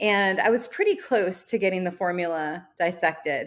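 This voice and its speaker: A woman's fairly low voice at a moderate pace, fairly even in intonation, on a very clean recording with a silent background. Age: 40s. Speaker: entrepreneur and podcast host. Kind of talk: interview.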